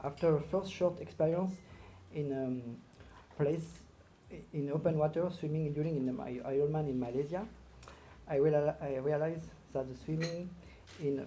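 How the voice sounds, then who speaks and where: The speech comes at a moderate pace in a French accent. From northern France. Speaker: marathon swimmer, award inductee. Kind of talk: acceptance speech. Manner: halting.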